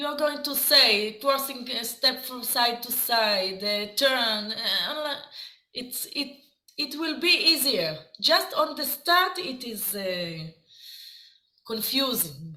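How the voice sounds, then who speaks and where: A woman's raised, projected voice in an Israeli accent, high-pitched and very slow, with very wide pitch swings, big swings in loudness and audible room echo. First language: Hebrew. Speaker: dance teacher. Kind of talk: lecture. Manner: halting.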